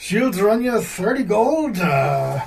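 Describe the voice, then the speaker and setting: Using a put-on character voice, a man speaks at a high pitch with lively intonation. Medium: actual play. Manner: jovial, folksy.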